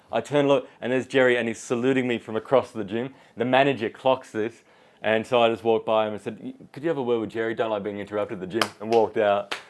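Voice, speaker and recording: With an Australian accent, a man talks at a very fast pace in a medium pitch, his intonation fairly even. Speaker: podcast host. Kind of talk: casual interview chat.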